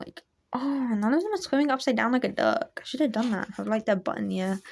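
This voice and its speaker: Fairly quick speech from a woman with a fairly high pitch. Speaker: hobby artist youtuber. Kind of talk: sketchbook tour, casual talk to camera. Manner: hesitant, many ums and likes; shaky.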